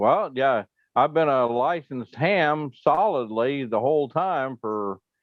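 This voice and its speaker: A man with a normal speaking voice, lively intonation and a fairly slow pace. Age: 60s. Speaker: ham radio operator, former broadcast engineer. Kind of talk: casual chat.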